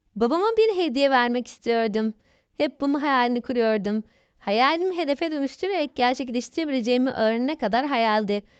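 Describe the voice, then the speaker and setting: A woman with a high pitch speaks at a fairly quick pace with lively intonation and very even loudness against a quiet background. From Thrace, Turkey (Kırklareli). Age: 30s. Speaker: author. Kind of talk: interview.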